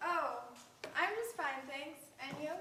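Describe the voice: In a put-on character voice, a woman talks at a fairly slow pace with a high pitch, a bright, sharp tone and lively intonation, amid strong room echo.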